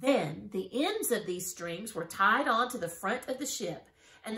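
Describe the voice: Someone does plain reading aloud, the intonation lively.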